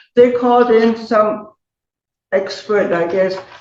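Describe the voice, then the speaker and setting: A woman's fairly high voice with audible room echo. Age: 80s+. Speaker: elderly tenant in court hearing. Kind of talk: courtroom testimony.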